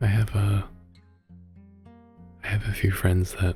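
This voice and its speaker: Soft-spoken and very deep, a man talks with monotone, flat intonation while music plays in the background. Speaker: ASMR creator, VTuber, artist. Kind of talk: soft-spoken ASMR motivational talk. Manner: soft-spoken, gentle, reassuring.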